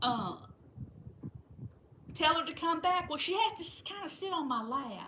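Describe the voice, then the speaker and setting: In a Southern US accent, a woman with an extremely high pitch uses a raised, projected voice and lively intonation at a moderate pace, with long, frequent pauses. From Florida. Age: 60s. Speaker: livestream host. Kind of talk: casual chat.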